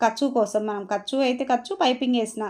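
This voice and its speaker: Against a quiet background, a woman talks at a high pitch. Her pitch varies in an ordinary way. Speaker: tailoring teacher. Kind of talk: tutorial. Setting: voice-over. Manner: halting.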